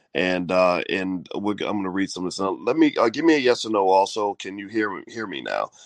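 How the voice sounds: Fairly low in pitch, a man talks at a fairly quick pace with lively intonation, the sound dry and close with no echo.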